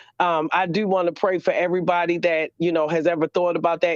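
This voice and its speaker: Someone speaks at a very fast pace in a Baltimore accent. The tone is animated. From Baltimore, US. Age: 40s. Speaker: caller. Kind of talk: phone-in testimony.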